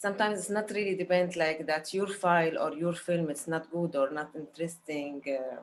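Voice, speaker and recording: Using an Arabic accent, a woman speaks at a moderate pace with hardly any pauses, her pitch fairly low and its variation ordinary. Noticeable background noise is present. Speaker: film director. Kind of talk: panel Q&A. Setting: video call. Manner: halting, many fillers.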